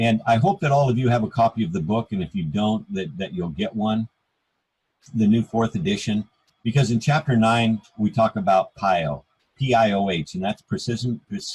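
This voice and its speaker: A man with an American accent speaks at a moderate pace and medium pitch, his intonation lively and his voice somewhat breathy. The sound is dry and close, with no echo. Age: 60s. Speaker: author and health speaker. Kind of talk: talk on a group call. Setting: group call.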